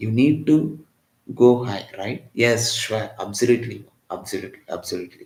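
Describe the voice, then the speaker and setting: Somewhat breathy and medium-pitched, a man talks at a moderate pace with ordinary pitch variation and big swings in loudness. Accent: Tamil. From Tamil Nadu, India (Chennai). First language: Tamil. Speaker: physics teacher. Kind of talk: live online lecture.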